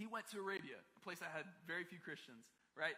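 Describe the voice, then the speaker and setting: Bright and sharp in tone, a man with an American accent speaks at a fairly quick pace with ordinary pitch variation. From Maryland, US. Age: 20s. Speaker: pastor. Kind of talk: sermon. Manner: casual, conversational.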